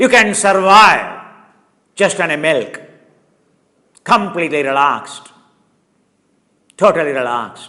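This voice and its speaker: A man with a high pitch uses a raised, projected voice and lively intonation. He speaks fairly slowly, with long, frequent pauses. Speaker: yoga teacher. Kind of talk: live yoga class lecture. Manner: animated; loud, shouting.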